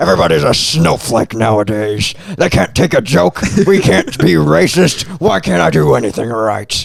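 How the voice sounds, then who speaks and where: A man's put-on character voice, fairly low in pitch with very wide pitch swings, very even loudness and a moderate pace. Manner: grumpy, complaining.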